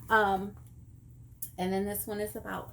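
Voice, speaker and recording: A woman talks fairly slowly, and room echo is audible around her. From Texas. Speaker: vlogger. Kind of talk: casual chat.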